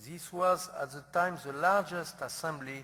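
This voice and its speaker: With a non-native accent, a man speaks in a bright, sharp tone. His intonation is fairly even, and his pace is moderate. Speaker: center director introducing the speaker. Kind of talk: speaker introduction. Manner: halting.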